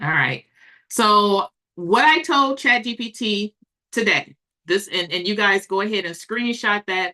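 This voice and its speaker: A woman at medium pitch talks at a fairly slow pace in an animated, bright, sharp tone with ordinary pitch variation, the sound dry and close with no echo. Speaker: livestreamer and online business coach. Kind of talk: live stream chat with viewers. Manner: casual and animated.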